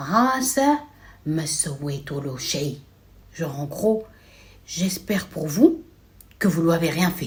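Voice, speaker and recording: A female-sounding put-on character voice with a middle pitch speaks at a fairly slow pace, with long, frequent pauses. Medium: read story. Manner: grave.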